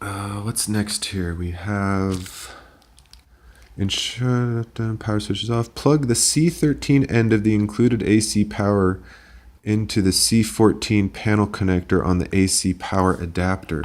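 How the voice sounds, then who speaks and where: A man speaks quietly with an American accent at a fairly slow pace, his pitch varying in an ordinary way. The recording is very clean, with a silent background. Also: fairly low pitch for a man. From United States. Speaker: engineer and tech hobbyist youtuber. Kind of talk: tutorial. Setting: home apartment. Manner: quiet, subdued.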